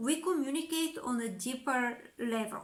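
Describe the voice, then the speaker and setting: With a Bulgarian accent, a woman speaks very slowly in a raised, projected voice, high in pitch and bright and sharp in tone. Audible room echo surrounds her. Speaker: communication coach. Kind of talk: educational monologue.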